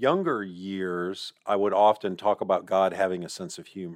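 An unremarkable speaking voice moves at a moderate pace, recorded with a dry, close sound and no echo. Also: man. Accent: American. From US (Mississippi, then western New York). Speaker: university president. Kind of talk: interview.

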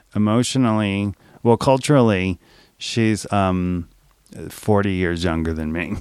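A man with an unremarkable speaking voice talks at a fairly slow pace, his fairly low pitch moving with ordinary variation. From New Orleans, US South. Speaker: podcast guest, writer. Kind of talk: casual chat.

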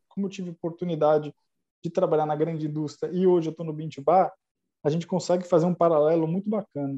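A man's high-pitched voice with a dark, mellow tone and a dry, close sound with no echo. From Brazil, São Paulo. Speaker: chocolate maker, entrepreneur. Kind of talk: casual interview. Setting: online call.

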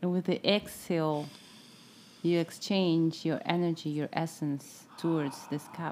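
Her tone dark and mellow, a woman speaks at a fairly low pitch and a fairly slow pace in a monotone, flat delivery. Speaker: podcast host. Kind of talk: casual chat.

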